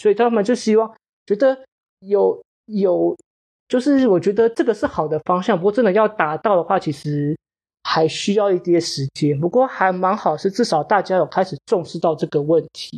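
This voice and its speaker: Against a quiet background with a dry, close sound and no echo, a man with a Taiwanese accent and a high pitch talks at a moderate pace with lively intonation. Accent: Taiwanese Mandarin. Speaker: postdoctoral researcher. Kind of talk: casual interview chat. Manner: halting, repeats words.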